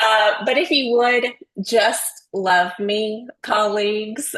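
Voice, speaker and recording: The tone is bright and sharp, with ordinary pitch variation. The pace is very slow. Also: woman. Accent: Southern US. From Texas. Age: 40s. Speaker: nurse researcher, webinar speaker. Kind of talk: webinar presentation.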